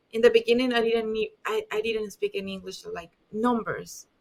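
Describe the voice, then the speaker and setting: A woman speaks at a fairly quick pace. She has a strong Spanish accent. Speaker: dentist. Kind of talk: podcast interview. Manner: halting.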